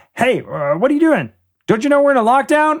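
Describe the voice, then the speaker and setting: Using a put-on character voice, a man talks at a fairly quick pace in an extremely high pitch. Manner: alarmed, demanding.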